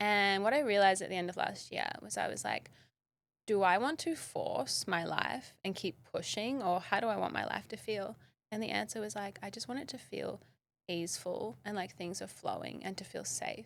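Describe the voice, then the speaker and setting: With an Australian accent, a woman speaks at a moderate pace. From Western Australia, south of Perth. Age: 30s. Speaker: model and wellness educator. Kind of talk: podcast interview. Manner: casual, frequent 'like' fillers.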